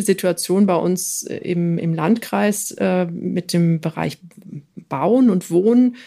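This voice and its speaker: Dark and mellow, a woman's voice sits at medium pitch. The recording is very clean, with a silent background. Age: 40s. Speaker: political candidate. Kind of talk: interview. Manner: hesitant with fillers.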